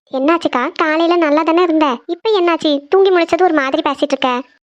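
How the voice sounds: In a cartoonish character voice, a woman sounds squeaky with an extremely high pitch, a fairly quick pace, fairly even intonation and very even loudness.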